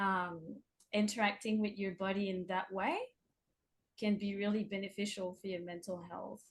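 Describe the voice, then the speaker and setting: Somewhat breathy and monotone, the speaker talks at a moderate pace in a French accent, with long, frequent pauses and flat intonation. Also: woman, medium pitch for a woman. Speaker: artist and workshop facilitator. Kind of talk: interview. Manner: casual, hesitant.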